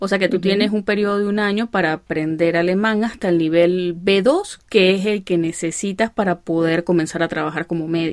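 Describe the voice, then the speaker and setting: A woman speaks with an Andean Venezuelan accent at medium pitch. Her pace is fairly quick and her intonation fairly even. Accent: Andean Venezuelan (gocho). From Venezuelan Andes. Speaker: podcast host and doctor. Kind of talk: interview.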